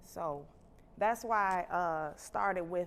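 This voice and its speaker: A woman's normal speaking voice with an American accent, fairly slow pace, and lively intonation. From Chicago. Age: 30s. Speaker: nurse and health education host. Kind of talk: livestream health talk. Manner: casual, conversational.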